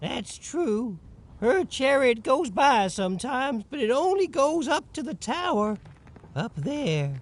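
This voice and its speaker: A man puts on a character voice with extremely high pitch and very wide swings, speaking at a fairly slow pace. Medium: video game. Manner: giddy laughter over bitterness.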